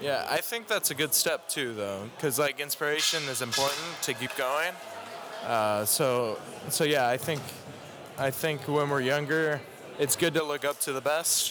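A man's fairly high-pitched voice at a moderate pace, with ordinary pitch variation and noticeable background noise. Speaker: competitive juggler. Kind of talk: interview. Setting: juggling convention, background noise.

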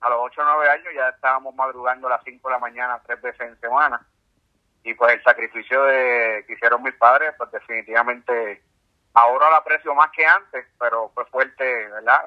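A man with a Puerto Rican accent speaks at a fairly quick pace in a medium pitch. His intonation stays fairly even while his loudness swings widely. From Puerto Rico, San Juan. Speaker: ultramarathon swimmer. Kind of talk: interview. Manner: halting.

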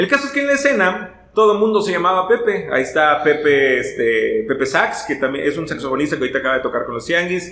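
Noticeable background noise surrounds a man who speaks very fast. His pitch is high and swings very widely. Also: hardly any pauses. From Veracruz, Mexico. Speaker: ska singer and radio announcer. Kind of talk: casual chat.

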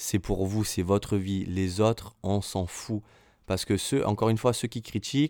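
Over a very clean recording with a silent background, a man with a fairly low pitch and a dark, mellow tone speaks at a fairly slow pace. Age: 30s. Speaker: podcaster. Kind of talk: personal monologue. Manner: spontaneous, hesitant.

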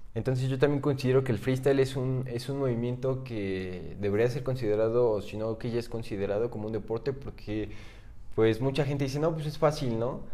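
Talking at a fairly quick pace, a man uses a medium pitch and a dark, mellow tone with ordinary pitch variation. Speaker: freestyle rap league organizer. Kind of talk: casual chat.

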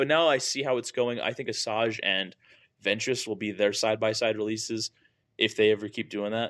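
In a normal speaking voice, a man with an American accent talks at medium pitch and a fairly quick pace with fairly even intonation, on a very clean recording with a silent background. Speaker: podcast host. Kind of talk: casual chat.

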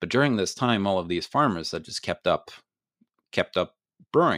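A man with a Norwegian accent on a very clean recording with a silent background. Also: dry, close sound with no echo. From Norway. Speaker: beer expert and podcaster. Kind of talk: interview. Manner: halting, many fillers and repeats.

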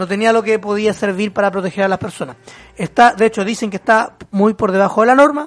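Very fast speech from a man, high-pitched, with ordinary pitch variation. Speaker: podcast host. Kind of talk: casual chat.

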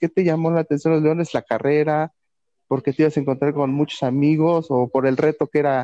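A dark, mellow tone comes through with fairly even intonation and a dry, close sound with no echo. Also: man. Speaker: sports podcast co-host. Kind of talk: interview. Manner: halting. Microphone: bad internet connection.

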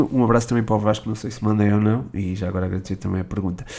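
A man speaks in a European Portuguese accent. His tone is dark and mellow, with ordinary pitch variation. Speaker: football podcast host. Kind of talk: Q&A podcast monologue. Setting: changed recording location mid-episode. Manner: hesitant, with filler sounds.

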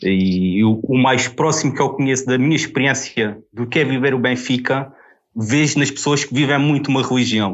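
In a plain, everyday voice, a man speaks at a moderate pace with medium pitch and ordinary pitch variation. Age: 30s. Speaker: football fan guest. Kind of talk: casual chat.

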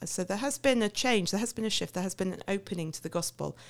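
The recording is very clean, with a silent background. A woman speaks with a southern English accent. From England, Milton Keynes. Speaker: missionary. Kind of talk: interview. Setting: studio.

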